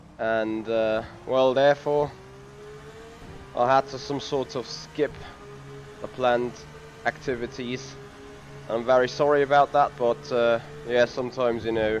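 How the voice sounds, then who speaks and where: The speech moves at a fairly slow pace with lively intonation and long, frequent pauses. Music plays in the background. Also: man, medium pitch for a man. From Germany. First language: German. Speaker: sim racing streamer. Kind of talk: live stream commentary. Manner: hesitant, many fillers.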